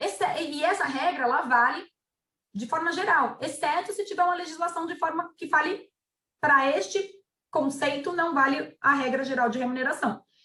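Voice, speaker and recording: A woman's high, bright, sharp voice, raised and projected, with lively intonation at a fairly slow pace. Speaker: labor lawyer. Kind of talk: webinar presentation. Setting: webinar.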